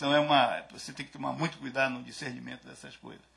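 A man talks at a moderate pace. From Brazil. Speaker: agricultural research coordinator; conference speaker. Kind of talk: lecture. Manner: halting. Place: hall. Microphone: podium.

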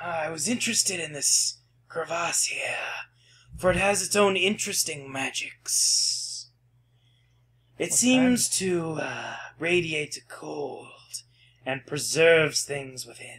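A put-on character voice moves at a fairly slow pace, broken by long, frequent pauses. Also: man, high pitch for a man. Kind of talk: ominous polite menace. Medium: actual play. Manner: calm, polite, quietly creepy.

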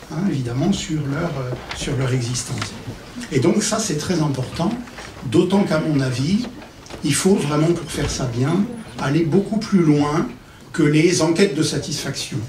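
A man's fairly high voice at a fairly slow pace, with long, frequent pauses, ordinary pitch variation, audible room echo and light background noise. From Paris, France. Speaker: psychosociologist and consultant; conference speaker. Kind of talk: conference talk. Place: stage.

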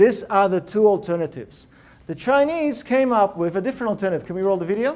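At a very fast pace, a man speaks with a high pitch. His tone is animated and his intonation lively. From Russia (Leningrad), emigrated. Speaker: innovation consultant and speaker. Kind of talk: TEDx-style talk. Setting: stage with live audience. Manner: animated, interactive. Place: hall. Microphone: lapel.

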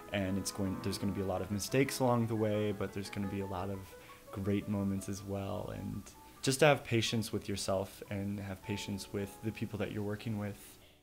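Faint music sits in the background as a man talks at a fairly quick pace. His voice is fairly low in pitch, with fairly even intonation. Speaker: interviewee. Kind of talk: interview answer.

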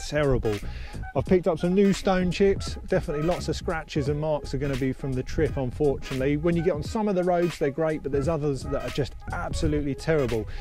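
Clear music plays behind a man who talks at a very fast pace with ordinary pitch variation. The sound is dry, with no echo. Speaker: car vlogger. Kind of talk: casual vlog chat. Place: open country.

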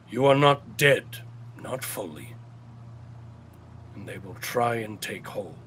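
Using a put-on character voice, a man speaks very slowly in a fairly high pitch. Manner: solemn, ominous warnings.

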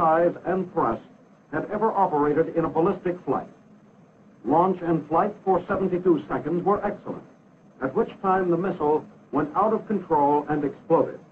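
A man at a moderate pace with a high pitch. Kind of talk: 1950s US Army educational film narration, scripted and technical. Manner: formal, measured, authoritative newsreel-style delivery; clipped and brisk, matter-of-fact, declarative.

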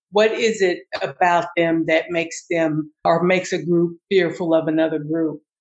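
Her pitch fairly low, a woman speaks at a moderate pace in a monotone, flat way. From US South. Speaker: diversity trainer. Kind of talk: interview.

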